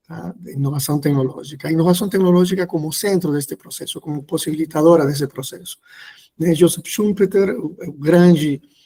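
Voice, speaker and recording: At a fairly quick pace, a man with a Peruvian accent talks in a dark, mellow tone at a fairly high pitch, his intonation fairly even but his loudness swinging widely. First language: Spanish (speaking Portuguese). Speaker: professor. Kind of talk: lecture. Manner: hesitant, many fillers.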